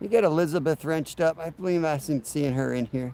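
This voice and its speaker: A man with a normal speaking voice, fairly high pitch and moderate pace, on a very clean recording with a silent background. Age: 40s. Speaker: fishing livestreamer. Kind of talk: casual livestream chat. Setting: outdoors. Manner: relaxed.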